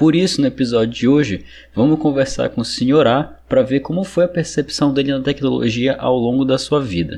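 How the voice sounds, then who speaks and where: A man speaks at a medium pitch and moderate pace, his tone dark and mellow. His pitch varies in an ordinary way over a quiet background. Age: 20s. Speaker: podcast host. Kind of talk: casual interview.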